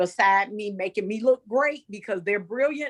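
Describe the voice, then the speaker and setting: Recorded with a dry, close sound and no echo, a woman talks at a medium pitch and moderate pace, with ordinary pitch variation. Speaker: educator. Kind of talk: casual group chat. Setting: video call. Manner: enthusiastic.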